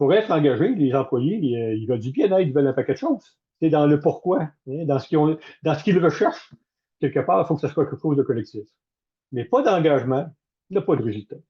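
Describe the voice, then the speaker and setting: A man's fairly high voice, lively in intonation and very fast, somewhat breathy, with a Quebec accent and long, frequent pauses. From Canada. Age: 70s. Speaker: management consultant and former military officer. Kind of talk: webinar talk. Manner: direct.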